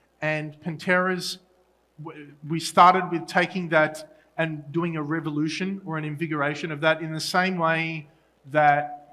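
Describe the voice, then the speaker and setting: With an Australian accent, a man speaks at a fairly slow pace in a bright, sharp tone, his fairly high pitch flat and monotone while his loudness swings widely. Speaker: solutions engineer at a tech conference. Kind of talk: conference talk. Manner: halting with fillers and restarts.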